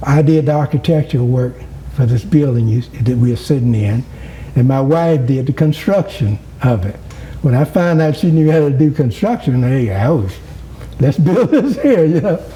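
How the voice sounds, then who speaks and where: Over noticeable background noise, a man with a fairly high pitch speaks at a moderate pace, his loudness very even and his intonation lively. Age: 70s. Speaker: former mayor. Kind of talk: interview. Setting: at home.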